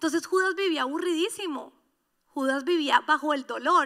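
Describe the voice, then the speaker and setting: At a moderate pace, a woman projects a raised, animated voice with a bright, sharp tone, extremely high pitch and ordinary pitch variation. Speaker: pastor. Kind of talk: sermon.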